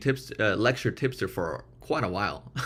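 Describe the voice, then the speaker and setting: A man's medium-pitched voice with vocal fry, on a very clean recording over a silent background. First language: not English. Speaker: streamer. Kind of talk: casual chat. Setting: live stream. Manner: hesitant, repeats words.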